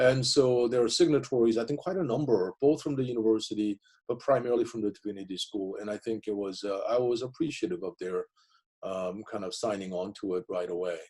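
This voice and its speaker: A man with a Korean accent talks at a fairly quick pace in a medium pitch, with ordinary pitch variation and a dark, mellow tone. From South Korea, moved to US at 15. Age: 50s. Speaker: professor. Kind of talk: interview. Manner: halting.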